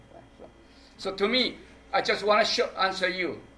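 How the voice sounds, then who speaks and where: Over noticeable background noise, a man projects his high-pitched, raised voice at a moderate pace. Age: 60s. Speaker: performance artist. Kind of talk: public talk Q&A. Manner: halting.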